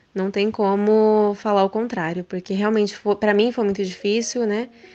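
A woman with a plain, everyday voice, fairly high in pitch, at a moderate pace against a quiet background. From Japan (Brazilian family). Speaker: recruiter, mother. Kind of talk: interview.

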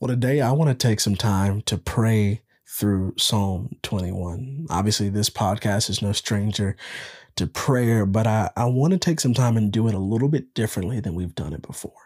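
In a very clean recording with a silent background and a dry, close sound with no echo, a man with a plain, everyday voice speaks at a moderate pace, his fairly low pitch showing ordinary variation. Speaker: podcast host and devotional leader. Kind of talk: guided prayer meditation.

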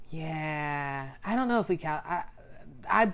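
A woman speaks with a very deep, low pitch. Her intonation is lively. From Florida, US (Daytona Beach). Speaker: podcast co-host. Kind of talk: casual chat, personal testimony.

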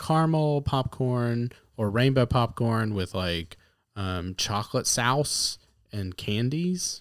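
Speaking very slowly with an American accent, a man uses a medium pitch that swings very widely, on a very clean recording with a silent background. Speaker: podcast co-host. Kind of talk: casual chat.

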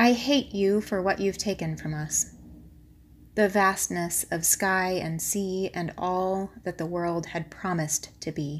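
A woman with an American accent speaks at a very slow pace and medium pitch in a very clean recording with a silent background. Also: ordinary pitch variation. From US, upstate New York. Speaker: poet. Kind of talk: poetry reading.

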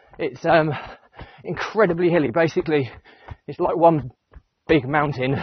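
Somewhat breathy, the voice keeps a moderate pace and fairly even intonation. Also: man. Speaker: running vlogger. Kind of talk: casual vlog while running. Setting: outdoors, running. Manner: hesitant, many fillers.

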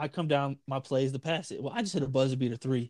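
A man's fairly high voice, a normal speaking voice with ordinary pitch variation, in a dry, close sound with no echo. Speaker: podcast co-host. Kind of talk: casual chat.

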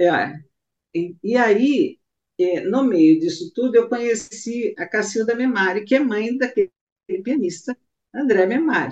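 Pausing long and often, a woman speaks at a fairly slow pace with fairly high pitch and very wide pitch swings. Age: 60s. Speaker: singer. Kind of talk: interview. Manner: halting.

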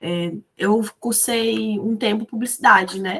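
A woman with a fairly high pitch speaks in an unremarkable speaking voice. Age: 20s. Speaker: photographer and architecture student. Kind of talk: casual chat.

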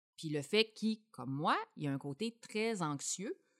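Recorded dry and close with no echo and a silent background on a very clean track, a woman with a Quebec accent speaks with lively intonation. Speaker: mother, employee of small content company. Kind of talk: casual chat.

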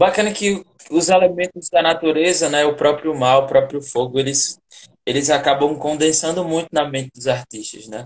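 Here is a man with a normal speaking voice, pitched fairly high. He speaks at a moderate pace with ordinary pitch variation. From Brazilian northeast, inland Rio Grande do Norte (sertão). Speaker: theatre artist hosting a live interview series. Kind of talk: casual interview. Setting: online live video call.

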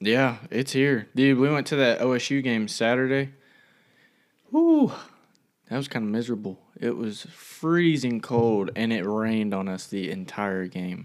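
A man with a normal speaking voice talks at a fairly slow pace, his pitch sitting in the medium range. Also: ordinary pitch variation. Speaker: co-host. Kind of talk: casual Bible study chat.

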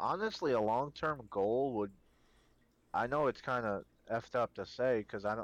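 A normal speaking voice from a man, moderate in pace, with ordinary pitch variation. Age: 20s. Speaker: Twitch streamer. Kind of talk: casual interview chat.

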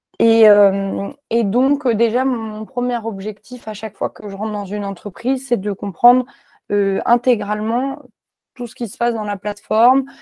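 A dark, mellow tone with fairly even intonation at a moderate pace, on a very clean recording with a silent background and a dry, close sound with no echo. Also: woman, big swings in loudness. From France, Clermont-Ferrand. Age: 20s. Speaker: software developer. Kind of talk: interview. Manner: hesitant with many fillers and repetitions.

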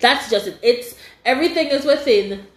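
A woman talks with lively intonation. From Caribbean. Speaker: podcast host and university student. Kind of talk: casual chat.

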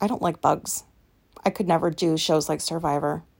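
A woman speaks at a fairly slow pace in a fairly low pitch with vocal fry. The recording is very clean, with a silent background. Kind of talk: casual chat. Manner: loud.

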